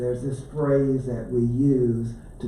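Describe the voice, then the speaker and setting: An Appalachian accent in monotone, flat intonation, with audible room echo and noticeable background noise. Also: man. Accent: southern Appalachian American. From US South. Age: 70s. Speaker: author. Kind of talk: book talk to library audience.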